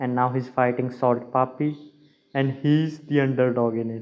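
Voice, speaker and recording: Here a man speaks at a very slow pace. His pitch is medium. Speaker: MMA reaction YouTuber. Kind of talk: reaction commentary. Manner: halting, stuttering.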